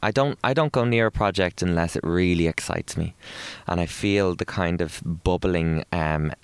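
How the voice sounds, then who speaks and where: Heard in a dry, close sound with no echo, a man with an Irish accent speaks at a very deep, low pitch with ordinary pitch variation. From Ireland. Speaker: broadcaster and author. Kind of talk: interview. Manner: animated.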